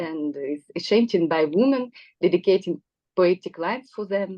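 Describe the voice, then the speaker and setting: Lively intonation with a non-native accent. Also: woman. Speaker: psychoanalyst. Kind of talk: prepared talk from notes. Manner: halting.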